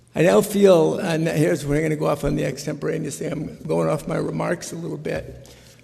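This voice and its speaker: A man's voice over noticeable background noise. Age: 60s. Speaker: state legislator. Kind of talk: floor speech. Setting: legislative chamber. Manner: halting, many fillers.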